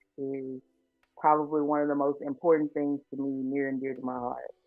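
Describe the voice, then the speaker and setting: Behind her, music is playing. The woman talks with an American accent. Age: 20s. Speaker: student and podcast host. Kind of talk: interview.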